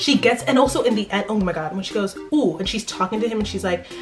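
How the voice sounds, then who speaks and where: A woman at medium pitch with an American accent, lively intonation and an animated tone, music playing behind her. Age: young. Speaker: student. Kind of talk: casual talk to camera. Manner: animated, emphatic.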